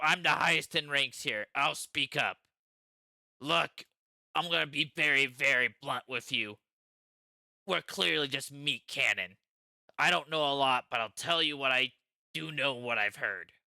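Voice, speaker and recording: A man does a put-on character voice at a medium pitch and moderate pace. He leaves long, frequent pauses. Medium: actual play. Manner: blunt, profane.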